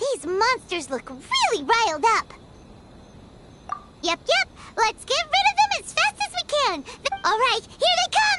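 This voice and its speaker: A put-on character voice at an extremely high pitch, fairly slow, broken by long, frequent pauses, with loud background noise behind it. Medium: video game. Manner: cheeky, chatty.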